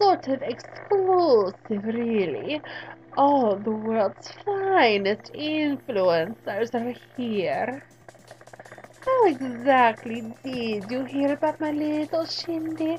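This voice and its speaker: A woman's put-on character voice, high-pitched and very slow. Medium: solo performance. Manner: purring, arch, theatrical.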